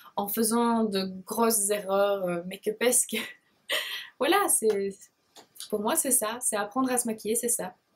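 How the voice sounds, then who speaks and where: A woman with a Belgian accent speaks fairly slowly in a fairly high, somewhat breathy voice, with ordinary pitch variation and long, frequent pauses. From Belgium, Liège province. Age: 20s. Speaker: beauty blogger. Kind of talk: casual Q&A vlog. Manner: hesitant, many fillers.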